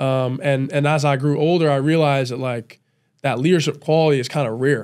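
The background is quiet. A man talks with fairly even intonation. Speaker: college football player; podcast guest. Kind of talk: casual chat. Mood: calm, reflective. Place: studio. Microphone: studio mic.

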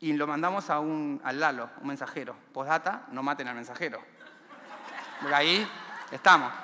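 With an Argentine accent and a fairly high pitch, a man speaks at a moderate pace with ordinary pitch variation, long, frequent pauses, and light background noise. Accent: Rioplatense Argentine Spanish. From Argentina, Buenos Aires area (villa La Cárcova, San Martín); Buenos Aires, Argentina. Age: 30s. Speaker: community library founder, former prisoner; speaker. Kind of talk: motivational talk; inspirational talk. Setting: stage with audience. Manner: halting, frequent repetitions. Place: stage. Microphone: headset.

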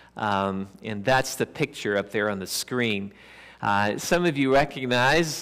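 An unremarkable speaking voice, with ordinary pitch variation, talks at a fairly slow pace against a quiet background. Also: man. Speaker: pastor. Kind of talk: sermon. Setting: church. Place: church.

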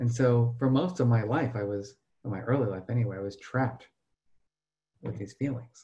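With an American accent, a man speaks in a dark, mellow, somewhat breathy tone with ordinary pitch variation, pausing long and often against a quiet background. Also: medium pitch for a man, moderate pace. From New Jersey. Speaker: professor and emotional intelligence researcher; professor. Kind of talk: webinar presentation. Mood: earnest, personal.

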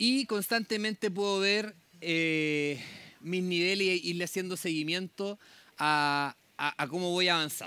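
At a fairly slow pace, a man speaks in a high, bright, sharp voice with ordinary pitch variation and a dry sound with no echo. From southern Chile (Temuco); southern Chile. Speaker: public agency program manager. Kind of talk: conference talk. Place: tent.

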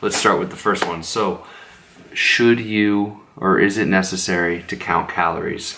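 Quiet and very slow, a man speaks with ordinary pitch variation. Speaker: fitness vlogger. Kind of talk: casual vlog talk. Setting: at home late at night. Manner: quiet, subdued. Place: home room. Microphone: phone near.

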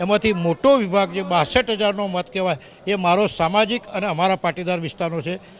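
Background noise is noticeable in this clip. Over it, a man talks with ordinary pitch variation. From north Gujarat (Mehsana district), India. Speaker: local politician. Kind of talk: news interview.

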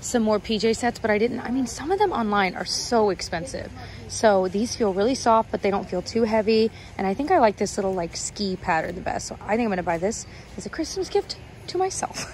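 A woman speaks at a fairly quick pace with ordinary pitch variation, her voice dry with no echo over light background noise. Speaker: shopping vlogger. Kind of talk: casual vlog chat. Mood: excited, delighted. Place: shop. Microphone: phone near.

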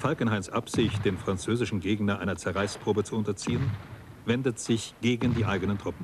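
A man talks at a fairly quick pace with fairly even intonation and a fairly low pitch. He has an ordinary speaking voice. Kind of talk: documentary narration. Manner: formal, measured, sober; steady, authoritative delivery.

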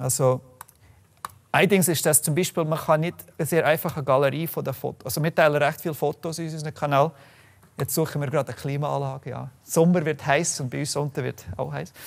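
Speaking at a very fast pace, a man uses a fairly high voice with vocal fry and fairly even intonation. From Canada, Calgary, Alberta. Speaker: software developer and open data activist; presenter. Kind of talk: presentation talk. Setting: room with live audience. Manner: halting, many fillers. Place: meeting room.

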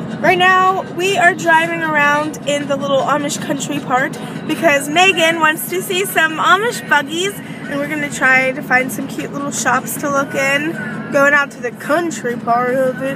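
Over crowd noise in the background, a woman projects a raised voice at a moderate pace. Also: dry sound with no echo. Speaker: vlogger. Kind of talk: casual vlog chat. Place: car. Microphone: phone near.

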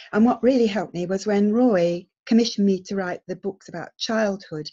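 Over a quiet background, a woman with a dark, mellow tone speaks at a moderate pace, her pitch varying in an ordinary way. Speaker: webinar speaker. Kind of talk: lecture. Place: home room. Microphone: webcam.

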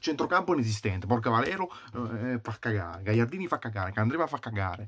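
A man races along at a very fast pace with lively intonation over light background noise. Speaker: football fan vlogger. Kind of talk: angry rant, furious fan tirade. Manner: shouting, furious, ranting; repetitive, exasperated, swearing. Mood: angry, frustrated. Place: home room. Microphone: webcam.

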